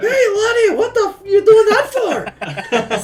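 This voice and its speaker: Someone performs a put-on character voice with an Irish accent, extremely high in pitch and at a fairly slow pace. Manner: annoyed, confrontational.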